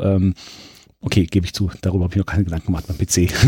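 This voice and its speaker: A man is talking. The tone comes across as dark and mellow. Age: 30s. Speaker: museum press spokesman and retro gaming collector. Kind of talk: casual interview. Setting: pinball and arcade museum during an event.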